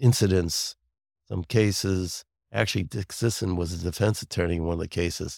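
A man speaks with a slight New York accent in a very deep, low voice. The recording is very clean with a silent background and a dry, close sound with no echo. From Brooklyn and Long Island, New York. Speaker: lawyer. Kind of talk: casual chat.

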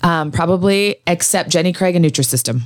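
A woman with an American accent speaks in a normal speaking voice, pitched fairly low. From Idaho, US. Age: 40s. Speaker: former newscaster, surgery patient. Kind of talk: interview.

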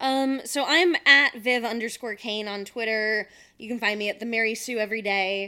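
With an American accent, a woman speaks in a bright, sharp tone, her loudness swinging widely. The recording is very clean, with a silent background. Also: fairly high pitch for a woman, ordinary pitch variation, moderate pace. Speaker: podcast co-host. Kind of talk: casual chat.

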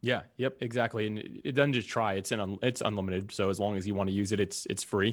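In an American accent and an ordinary speaking voice, a man with a fairly low pitch talks at a fairly quick pace with fairly even intonation and hardly any pauses. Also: very clean recording, silent background. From US South, Jacksonville, Florida. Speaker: podcast host and entrepreneur. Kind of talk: interview conversation.

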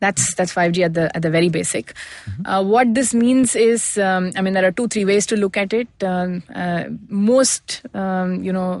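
A woman of medium pitch with an Indian accent, ordinary pitch variation and a moderate pace. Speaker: managing director, tech consultancy. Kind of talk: interview.

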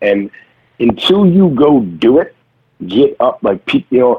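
Very slowly, a man with an American accent speaks with very wide pitch swings. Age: 40s. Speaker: actor. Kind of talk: casual chat. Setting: remote call.

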